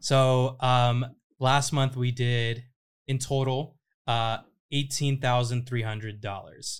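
A man with an American accent at a very slow pace, monotone and flat in intonation, on a very clean recording with a silent background. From Southern California (Riverside). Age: 20s. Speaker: podcast host and creator-marketing founder. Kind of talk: casual interview chat. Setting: at guest's house.

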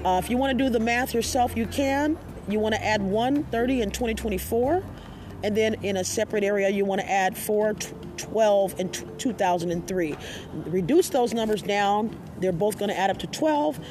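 Noticeable background noise accompanies a woman as she speaks at a fairly slow pace. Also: medium pitch for a woman, ordinary pitch variation. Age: 50s. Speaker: spiritual podcast host and astrology reader. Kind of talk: casual interview and spiritual teaching.

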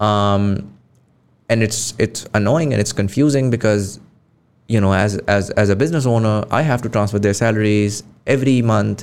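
With a Pakistani accent, a man talks at a moderate pace and a fairly low pitch, using ordinary pitch variation and very even loudness. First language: Urdu. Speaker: podcast host. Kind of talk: interview conversation.

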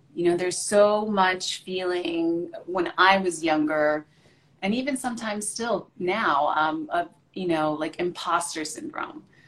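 A woman speaks at a medium pitch with lively intonation and a fairly slow pace over noticeable background noise. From Puerto Rico. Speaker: chef and TV personality. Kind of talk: casual chat. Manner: animated.

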